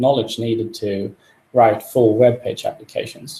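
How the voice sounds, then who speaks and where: A man's dark, mellow voice comes across somewhat breathy at a moderate pace. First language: not English. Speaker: software developer. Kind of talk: live coding tutorial. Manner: halting, many fillers.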